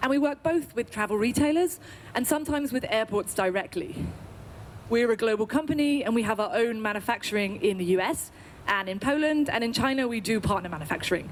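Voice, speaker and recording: An enthusiastic woman with an English accent speaks at a very fast pace. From UK. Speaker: agency representative pitching to industry audience. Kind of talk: sales pitch.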